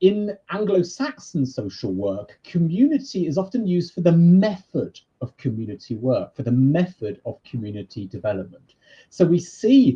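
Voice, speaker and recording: A man with a British accent speaks at a moderate pace, his dark, mellow, somewhat breathy voice making very wide pitch swings. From Britain. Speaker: university lecturer in social work. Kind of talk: lecture.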